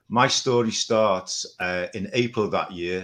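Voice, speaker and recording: On a very clean recording with a silent background, a man talks with an English accent. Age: 60s. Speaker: carnivore diet follower. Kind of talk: testimony.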